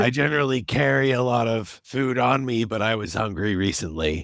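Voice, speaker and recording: In a put-on character voice, a man sounds raspy at medium pitch, with lively intonation and a moderate pace. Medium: actual play.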